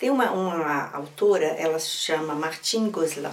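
Noticeable background noise runs under a woman's voice. She speaks at a fairly slow pace with ordinary pitch variation. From Minas Gerais, Brazil. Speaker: storyteller and writer. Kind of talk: interview conversation, teaching talk. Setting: recording studio with others at night, filmed.

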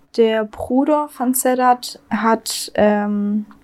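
In a Swabian accent, a woman speaks at a fairly high pitch with fairly even intonation. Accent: Swabian dialect, slight to moderate. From Swabia, southwest Germany. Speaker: true crime podcast co-host. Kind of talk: casual true crime storytelling. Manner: hesitant, many fillers.

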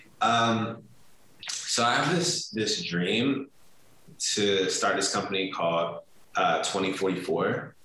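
With an American accent, a man speaks very slowly in a room with audible echo, leaving long, frequent pauses. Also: very even loudness. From US Mid-Atlantic (DMV area). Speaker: marketing executive. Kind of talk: interview.

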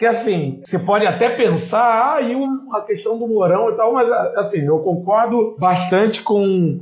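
Audible room echo follows a man as he talks at a fairly slow pace. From Rio de Janeiro, West Zone (Campo Grande). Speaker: podcast co-host, navy veteran. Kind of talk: political discussion podcast. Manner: halting, many fillers.

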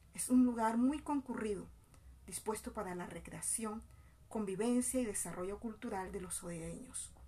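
At a moderate pace, a woman with an ordinary speaking voice speaks at a fairly high pitch with ordinary pitch variation. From Colombian Caribbean coast, Bolívar. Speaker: education student and community mother. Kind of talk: scripted narration. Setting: outdoors in a public plaza.

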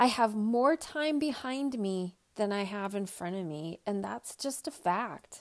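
A woman with an unremarkable speaking voice, medium pitch and a fairly slow pace. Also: lively intonation. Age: 40s. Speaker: podcast host and equine bodyworker. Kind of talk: solo podcast monologue.

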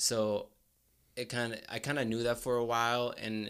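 The speaker has a Spanish accent. The intonation stays monotone and flat. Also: man. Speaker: graduate student and college wrestler. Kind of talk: casual interview. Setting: studio. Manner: casual, hesitant with fillers.

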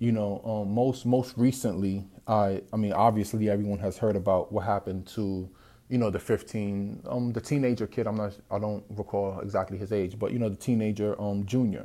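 A man with a dark, mellow tone and fairly low pitch speaks in a flat monotone at a moderate pace, recorded very cleanly against a silent background. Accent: New York. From South Bronx, New York City. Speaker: podcast host. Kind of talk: solo monologue podcast. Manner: casual, many fillers and repetitions.

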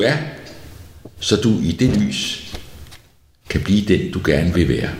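A man's fairly low voice with lively intonation, a fairly slow pace, audible room echo and noticeable background noise. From Denmark, outside Copenhagen. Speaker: pastor. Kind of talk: sermon.

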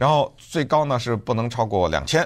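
A man talks with vocal fry. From Beijing, China. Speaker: podcast host. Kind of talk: solo commentary.

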